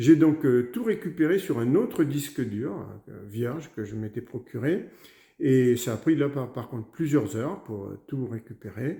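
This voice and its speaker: Speaking at a fairly slow pace, a man with a dark, mellow, somewhat breathy tone and a medium pitch uses lively intonation and big swings in loudness. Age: 60s. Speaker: customer giving a testimonial. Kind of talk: testimony. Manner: halting, many hesitations.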